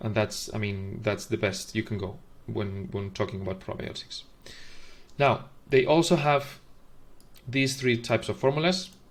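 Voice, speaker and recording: Speaking at a moderate pace with a non-native accent, a man with medium pitch sounds somewhat breathy, with lively intonation and long, frequent pauses. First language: not English. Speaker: formula reviewer, video host. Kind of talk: tutorial. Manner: halting, many fillers.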